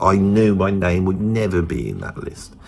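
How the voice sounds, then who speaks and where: A man speaks in a very deep, low voice with a Birmingham accent at a fairly slow pace. Noticeable background noise runs behind him. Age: 50s. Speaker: musician and guitar teacher. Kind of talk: casual monologue.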